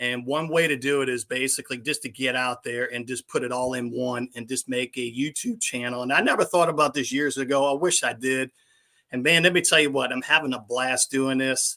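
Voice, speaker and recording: A man with a New Orleans accent speaks in a bright, sharp tone with fairly even intonation, recorded dry and close with no echo. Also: medium pitch for a man, fairly quick pace. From New Orleans, Louisiana. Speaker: YouTube vlogger. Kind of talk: casual chat.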